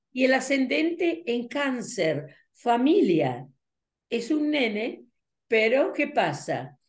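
Delivered at a very slow pace against a quiet background, the voice swings very widely in pitch. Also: woman, high pitch for a woman. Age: 80s+. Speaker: numerologist and teacher; teacher. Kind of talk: interview. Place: home room. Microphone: webcam.

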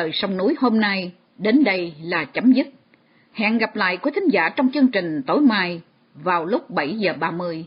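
The speaker talks at a fairly slow pace. Their pitch swings very widely. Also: woman, medium pitch for a woman. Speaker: radio presenter. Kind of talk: radio announcing. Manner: formal.

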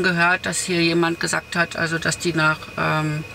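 Light background noise is present. Over it, a woman talks at a moderate pace. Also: dry sound with no echo. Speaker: van travel vlogger. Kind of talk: casual vlog chat. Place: car. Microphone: camera far.

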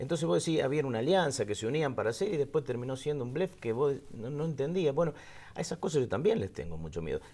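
Talking at a very fast pace, a man has a fairly high pitch, lively intonation, vocal fry and a dark, mellow tone. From Argentina. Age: 50s. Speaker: interview guest. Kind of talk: casual chat. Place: studio.

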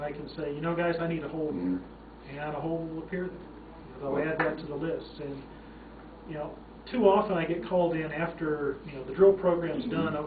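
Fairly high in pitch and fairly even in intonation, a man talks fairly quickly while noticeable background noise is heard. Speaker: mining software company founder, consultant. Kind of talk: interview answer. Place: meeting room. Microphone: camera far.

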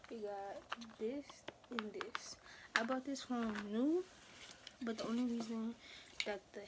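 The woman keeps her intonation fairly even and moves at a moderate pace. Background noise is noticeable. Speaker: vlogger. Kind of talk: casual vlog chat. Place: home room. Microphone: phone near.

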